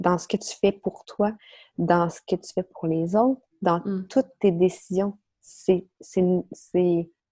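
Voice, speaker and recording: In a Quebec accent, a woman speaks at a very slow pace. Her tone is dark and mellow, her pitch medium. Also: dry, close sound with no echo. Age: 30s. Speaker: stress and anxiety coach. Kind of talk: interview.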